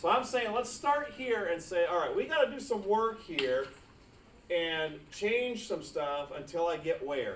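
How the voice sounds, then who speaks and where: A high-pitched man's voice with very wide pitch swings, amid noticeable background noise and audible room echo. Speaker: math teacher. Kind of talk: classroom lecture. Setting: classroom. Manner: fast.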